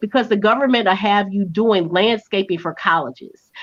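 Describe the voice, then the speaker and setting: At a moderate pace, a woman speaks in a medium pitch. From St. Louis, Missouri. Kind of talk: casual advice chat.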